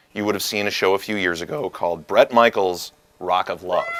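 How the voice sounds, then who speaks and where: A man with a fairly low pitch speaks at a fairly quick pace. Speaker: talk show host. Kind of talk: comedic talk show banter. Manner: loud; animated.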